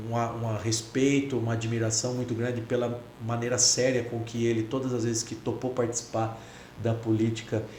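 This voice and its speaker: A man with a São Paulo interior accent talks at a fairly quick pace with monotone, flat intonation. Noticeable background noise and audible room echo surround him. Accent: rural São Paulo interior (caipira). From interior of São Paulo state (Bragança Paulista region). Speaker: federal congressman. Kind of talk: casual interview chat.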